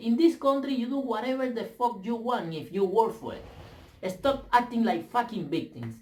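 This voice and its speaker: A man with a non-native accent speaks at a moderate pace in an extremely high pitch. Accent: foreign. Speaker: vlogger. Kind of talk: opinion rant. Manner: halting, repeats words; animated.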